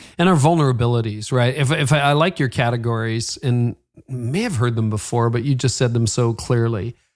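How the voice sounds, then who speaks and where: A man with a Canadian accent and a plain, everyday voice speaks at a fairly quick pace, his medium pitch showing ordinary variation. The recording is very clean, with a silent background. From Canada. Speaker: podcast host. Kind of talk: interview.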